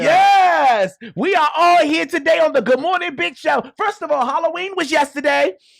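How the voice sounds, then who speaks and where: Speaking at a moderate pace with hardly any pauses, a man with an American accent uses lively intonation at an extremely high pitch. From Washington DC. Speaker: radio show host. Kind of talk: casual radio talk show banter. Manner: humorous, outspoken.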